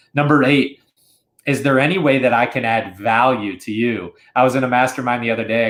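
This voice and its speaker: A man with a medium-pitched voice talks at a fairly quick clip. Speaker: podcast host. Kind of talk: solo podcast monologue. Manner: animated.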